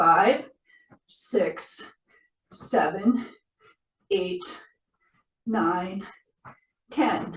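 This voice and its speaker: A woman's somewhat breathy voice with lively intonation and audible room echo. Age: 60s. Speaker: movement therapist / exercise instructor. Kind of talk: exercise tutorial. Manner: counting aloud rhythmically.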